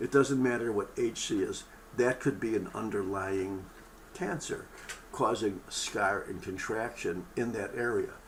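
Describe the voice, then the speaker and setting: Speaking at a moderate pace, a man with a medium-pitched voice can be heard with audible room echo. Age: 70s. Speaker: medical lecturer. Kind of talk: lecture. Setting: webinar broadcast. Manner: casual, conversational.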